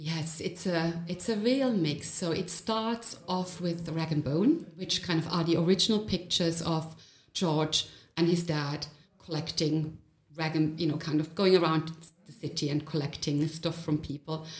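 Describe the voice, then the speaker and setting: A woman speaks at a moderate pace in a somewhat breathy, fairly low voice with fairly even intonation. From Germany. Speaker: gallery creative director. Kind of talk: interview.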